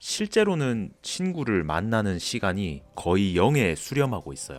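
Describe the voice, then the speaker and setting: Someone speaks at a very slow pace with very wide pitch swings. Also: man. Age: 30s. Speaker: office worker. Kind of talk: personal essay vlog talk. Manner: candid, reflective.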